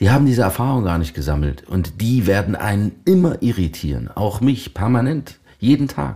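Dark and mellow with vocal fry, a man's fairly low voice swings very widely in pitch as he talks at a moderate pace with hardly any pauses. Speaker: voice actor and actor. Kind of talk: casual chat. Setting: room near a lake, Ahaus.

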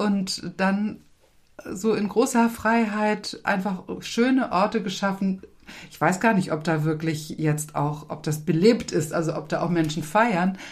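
A woman's somewhat breathy voice at a medium pitch and a very slow pace. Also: ordinary pitch variation. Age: 60s. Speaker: retired pastor. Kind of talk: interview.

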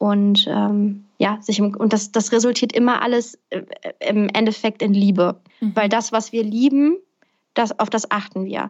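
A woman with an unremarkable speaking voice talks at a fairly slow pace and fairly high pitch. Her intonation is fairly even. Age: 20s. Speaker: podcaster and speaker on personal development. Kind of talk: interview.

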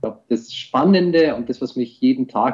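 A man talks fairly slowly in an ordinary speaking voice with ordinary pitch variation. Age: 40s. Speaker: IT security executive. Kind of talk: interview. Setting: video call.

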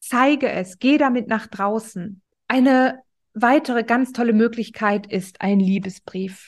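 A woman's fairly high voice, very slow in pace, with ordinary pitch variation. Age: 30s. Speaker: podcast host, self-love coach. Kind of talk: motivational monologue. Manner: animated.

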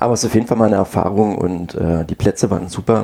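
A man with a normal speaking voice, fairly low pitch, fairly even intonation and a fairly quick pace. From Brandenburg, Germany. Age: 30s. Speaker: amateur tennis player. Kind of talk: casual chat.

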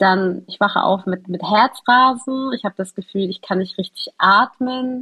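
A woman has an unremarkable speaking voice at a medium pitch with ordinary pitch variation. She talks at a fairly slow pace with hardly any pauses. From Hamburg, northern Germany. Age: young. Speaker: journalist reporting on Palestine. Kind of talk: conversational interview.

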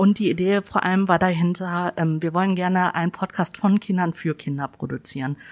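In a very clean recording with a silent background and a dry, close sound with no echo, a woman with a normal speaking voice talks at a fairly quick pace, with hardly any pauses and fairly even intonation. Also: medium pitch for a woman. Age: 30s. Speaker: library staff podcast co-host. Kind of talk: casual chat.

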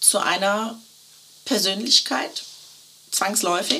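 There is noticeable background noise as a woman with a fairly high pitch speaks at a very slow pace. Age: 50s. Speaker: custom shirt consultant. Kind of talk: casual interview chat. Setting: in person, same room as host. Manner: cheerful, laughing.

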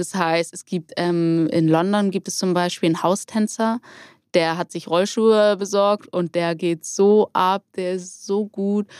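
A woman with a medium-pitched, fairly even voice speaks very slowly in a dry, close recording with no echo, very clean with a silent background. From Hamburg, northern Germany. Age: 20s. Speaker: roller skating instructor and student. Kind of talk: casual interview.

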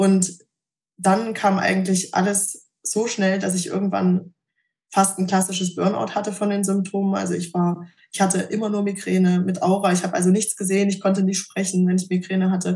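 A somewhat breathy woman talks at a moderate pace. Her intonation is monotone and flat. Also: medium pitch for a woman. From Thuringia, Germany. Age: 20s. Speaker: patient sharing her story. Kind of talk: personal testimony interview.

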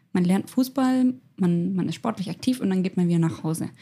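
A somewhat breathy, dark and mellow tone with ordinary pitch variation. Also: woman. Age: 20s. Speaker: youth officer and beauty pageant winner. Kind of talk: casual chat.

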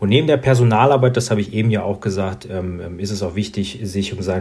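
Here a man speaks at a fairly low pitch in a somewhat breathy voice. His pace is fairly quick, with ordinary pitch variation. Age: 30s. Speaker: insurance sales manager. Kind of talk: interview.

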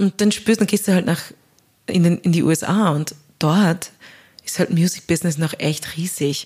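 Somewhat breathy and fairly low-pitched, this woman keeps a fairly even intonation and very even loudness, leaving long, frequent pauses. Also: moderate pace. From Austria. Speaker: singer and composer. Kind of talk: interview.

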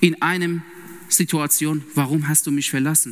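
Through noticeable background noise, a man with a Persian accent speaks very slowly in a fairly high pitch with fairly even intonation. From Iran. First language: Persian (speaking German). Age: 30s. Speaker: lay preacher and intensive care nurse. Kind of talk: sermon. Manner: halting, with many fillers.

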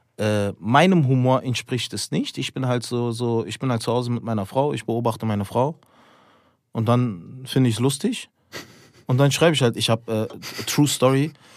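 In a plain, everyday voice, a man talks at a medium pitch. His pace is moderate and his pitch variation ordinary. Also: very clean recording, silent background. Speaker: stand-up comedian. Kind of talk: casual podcast chat. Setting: studio.

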